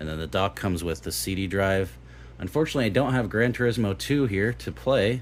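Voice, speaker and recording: Very deep and low, a man's voice shows vocal fry and very wide pitch swings. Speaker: tech youtuber reviewing retro gaming hardware. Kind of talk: unboxing and product review. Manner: slow, halting with fillers.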